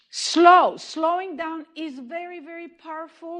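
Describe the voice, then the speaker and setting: A woman speaks with a slight Israeli accent. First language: Hebrew. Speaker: movement therapy educator. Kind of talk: lecture.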